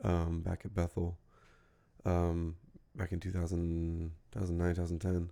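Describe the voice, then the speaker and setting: Quiet and very deep, a man's low voice carries a dark, mellow tone. He keeps a moderate pace on a very clean recording with a silent background. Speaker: commentary YouTuber. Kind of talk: casual commentary monologue. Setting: home at night. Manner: hesitant, many fillers.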